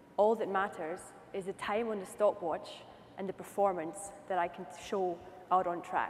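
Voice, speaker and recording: Against noticeable background noise, a woman speaks at a moderate pace with medium pitch and monotone, flat intonation. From Scotland. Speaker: racing driver. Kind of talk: conference keynote speech.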